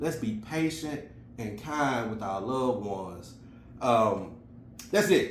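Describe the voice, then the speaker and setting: A man with an American accent speaks with lively intonation. Audible room echo surrounds his voice. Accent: Memphis Southern, comes out when emotional. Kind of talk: casual video message, motivational talk. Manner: conversational, many fillers.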